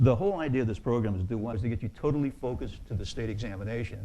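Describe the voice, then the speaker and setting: A man's dark, mellow, somewhat breathy voice at a very fast pace, with ordinary pitch variation. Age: 60s. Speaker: real estate exam instructor. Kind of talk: lecture. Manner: halting.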